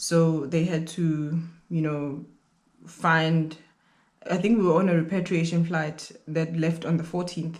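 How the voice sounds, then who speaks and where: A man speaks at a fairly slow pace in a high voice with a monotone, flat delivery, and audible room echo surrounds him. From South Africa. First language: not English. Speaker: YouTuber, grad student. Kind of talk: casual vlog storytime.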